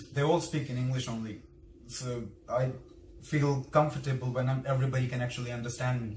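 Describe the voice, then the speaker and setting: The voice moves at a fairly quick pace with monotone, flat intonation and long, frequent pauses, amid audible room echo. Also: man. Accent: Indian. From India. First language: Hindi. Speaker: vlogger. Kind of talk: casual interview. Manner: halting.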